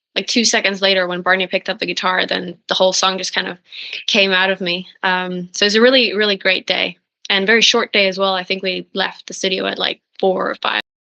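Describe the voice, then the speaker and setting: A woman with a Norwegian accent talks at a fairly quick pace in a bright, sharp tone, her intonation monotone and flat. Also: medium pitch for a woman. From Norway. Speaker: singer-songwriter. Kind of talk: interview.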